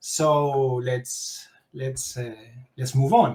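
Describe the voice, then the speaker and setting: Speaking with a Spanish accent, a man has a dark, mellow tone and a somewhat breathy sound. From Spain, Castellón. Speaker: tech educator, developer expert speaker. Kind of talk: tech talk presentation.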